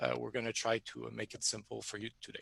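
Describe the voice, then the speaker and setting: With a Quebec accent and a bright, sharp tone, a man talks at a moderate pace in a dry, close sound with no echo. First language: French. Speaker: software company presenter. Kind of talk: webinar presentation. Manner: halting.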